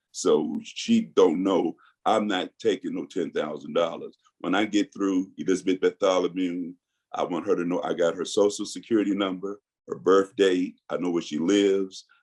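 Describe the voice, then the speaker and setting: Here a man talks at a moderate pace. His voice has a dry, close sound with no echo. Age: 60s. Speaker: guest telling his legal case. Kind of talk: interview.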